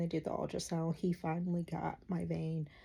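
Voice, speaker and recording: A woman's dark, mellow, somewhat breathy voice with monotone, flat intonation. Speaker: vlogger. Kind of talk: casual vlog monologue.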